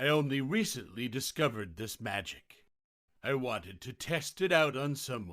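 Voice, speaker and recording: A man speaks at a moderate pace in a put-on character voice, his pitch sitting in the middle range. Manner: demonic.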